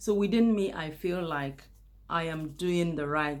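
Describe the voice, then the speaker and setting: A woman with a non-native accent and a very deep, low pitch speaks at a fairly slow pace, with audible room echo. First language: not English. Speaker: YouTuber. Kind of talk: casual monologue to camera. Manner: unscripted, with hesitations.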